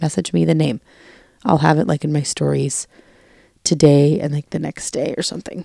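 A woman's voice, very deep and low in pitch with a dark, mellow tone, comes through as a dry, close sound with no echo. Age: 20s. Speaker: podcast co-host. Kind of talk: casual chat.

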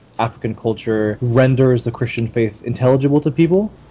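A somewhat breathy man at medium pitch and a fairly quick pace. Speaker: podcast host. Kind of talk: casual interview conversation.

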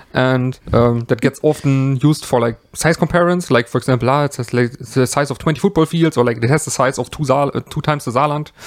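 With a German accent, a man speaks at a very fast pace with hardly any pauses. His intonation is fairly even. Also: medium pitch for a man. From Germany. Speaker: podcast co-host. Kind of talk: casual chat. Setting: at home.

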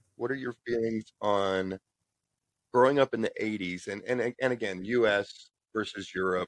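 A man with an American accent and a normal speaking voice, at a fairly slow pace, in a dry, close sound with no echo. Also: medium pitch for a man. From United States. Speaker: podcast host. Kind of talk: interview.

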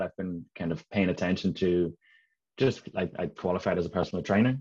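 With a Dublin accent, a man speaks at a moderate pace with ordinary pitch variation over a quiet background. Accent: Irish (Dublin). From Ireland, Dublin. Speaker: leadership and mindset coach. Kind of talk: casual interview.

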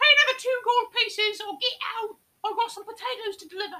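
Putting on a character voice, a woman speaks at a fairly quick pace with an extremely high pitch. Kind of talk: comic overacting. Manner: brusque, shouting.

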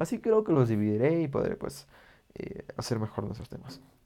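The man talks at a fairly quick pace. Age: 20s. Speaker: law student, podcaster. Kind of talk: casual monologue. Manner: halting, many fillers.

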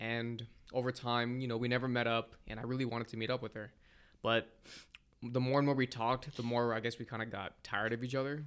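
Here a man talks at a very fast pace. His medium pitch carries a monotone, flat intonation. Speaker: podcast co-host, college student. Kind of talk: casual chat.

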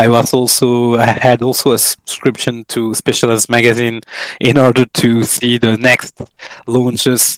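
A man's medium-pitched voice at a fairly slow pace, dry and close with no echo. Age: 40s. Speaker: company founder. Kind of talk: interview. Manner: halting.

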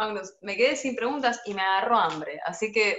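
Lively intonation runs through a plain, everyday voice at a moderate pace. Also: woman. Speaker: interviewer. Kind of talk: casual interview. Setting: at home, video call.

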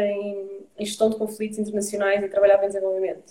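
A woman speaks at a fairly quick pace in a European Portuguese accent. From Portugal, Lisbon and Santarém. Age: 30s. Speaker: environmental activist. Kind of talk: interview. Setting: video live stream.

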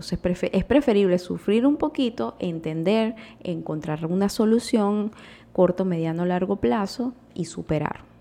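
This is a normal speaking voice with lively intonation, delivered at a fairly slow pace. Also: woman. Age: 30s. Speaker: podcast host. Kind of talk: casual monologue.

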